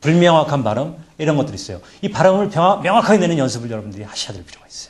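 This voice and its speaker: A man's fairly high voice with vocal fry, very wide pitch swings and a very fast pace. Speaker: presentation skills lecturer. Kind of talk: lecture.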